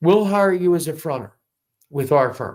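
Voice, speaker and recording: A man speaks at a moderate pace in a very clean recording with a silent background. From New York City (South Bronx). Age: 50s. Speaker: Navy veteran and businessman running for mayor. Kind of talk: interview.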